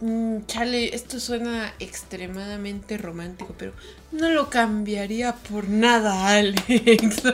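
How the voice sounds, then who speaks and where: A woman with a central Mexican accent talks at a very slow pace, with ordinary pitch variation and big swings in loudness. Noticeable background noise runs underneath. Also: fairly high pitch for a woman. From Mexico, Toluca (State of Mexico). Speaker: illustrator. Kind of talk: casual interview chat. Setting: in-person studio recording.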